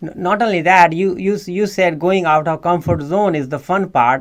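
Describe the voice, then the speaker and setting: A man with an Indian accent, high pitch, ordinary pitch variation and a moderate pace. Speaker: podcast host. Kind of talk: interview. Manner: halting, repeats words.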